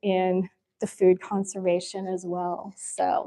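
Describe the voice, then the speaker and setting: A woman speaks very slowly with a Midwestern American accent, in a medium pitch and a dark, mellow tone. The sound is dry and close with no echo. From Kansas. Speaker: history speaker, fashion teacher and lawyer. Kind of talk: history lecture with slides.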